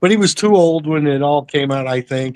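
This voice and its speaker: Over a quiet background, a man with an American accent talks at a fairly slow pace with lively intonation. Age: 60s. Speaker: comic collector. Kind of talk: casual chat.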